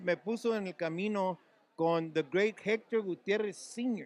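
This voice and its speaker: Here a man with an American accent speaks at a high pitch. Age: 70s. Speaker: retired school superintendent and songwriter. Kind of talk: interview. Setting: live event venue. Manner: animated.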